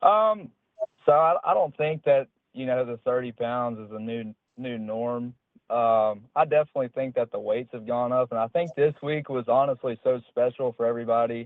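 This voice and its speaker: Using an ordinary speaking voice, a man talks with fairly even intonation in an American accent. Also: medium pitch for a man, moderate pace, big swings in loudness. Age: 20s. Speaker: professional bass angler. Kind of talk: interview.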